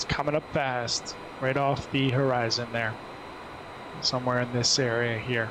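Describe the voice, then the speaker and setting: Over noticeable background noise and audible room echo, a man with an American accent talks at a moderate pace in a medium pitch, his intonation monotone and flat, his loudness very even and his pauses long and frequent. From US, New Jersey. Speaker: flight sim streamer and flight attendant. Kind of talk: casual live stream chat. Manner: relaxed, hesitant with fillers.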